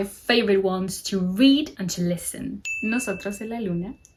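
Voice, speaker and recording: Her voice is somewhat breathy, a woman speaking at a medium pitch. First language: Spanish. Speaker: book content creator. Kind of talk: casual vlog talk with quotes read aloud.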